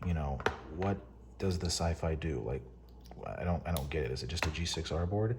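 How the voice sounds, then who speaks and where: There is noticeable background noise. Over it, a man with a very deep, low voice talks at a moderate pace. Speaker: paintball hobbyist. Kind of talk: product overview talk to camera. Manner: whispered.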